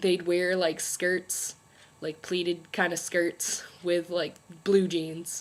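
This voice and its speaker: A woman speaks with monotone, flat intonation. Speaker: beauty and lifestyle vlogger. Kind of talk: casual vlog monologue. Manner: casual, filler-heavy. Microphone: laptop mic.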